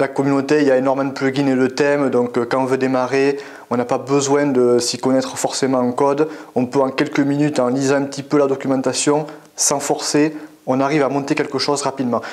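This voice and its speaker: Amid audible room echo and noticeable background noise, a man in a southwestern French accent speaks at a fairly quick pace with a fairly high pitch and monotone, flat intonation. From French Basque Country (Biarritz). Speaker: web developer. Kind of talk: interview. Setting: at a tech conference. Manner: hesitant, many fillers.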